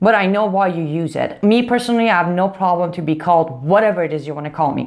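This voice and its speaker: In a non-native accent, a woman speaks very fast in a fairly low voice with ordinary pitch variation. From outside the US. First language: not English. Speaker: political commentator. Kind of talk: video commentary rebuttal. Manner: animated.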